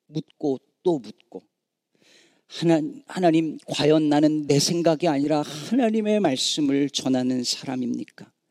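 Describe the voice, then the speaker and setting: A very slow male voice, fairly high in pitch yet dark and mellow in tone, with ordinary pitch variation and a dry, close sound without echo. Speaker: pastor. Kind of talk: sermon. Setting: church.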